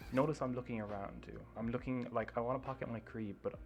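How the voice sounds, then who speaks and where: A man talks very fast at a medium pitch in a monotone, flat delivery. Music sits in the background. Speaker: gaming video creator. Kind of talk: gameplay review commentary. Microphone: poor mic, too quiet.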